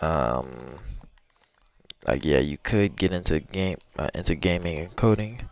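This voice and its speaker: With vocal fry and a very deep, low pitch, a man talks at a fairly slow pace, leaving long, frequent pauses while his intonation stays lively. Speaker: gaming streamer. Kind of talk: casual chat. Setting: live stream. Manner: halting.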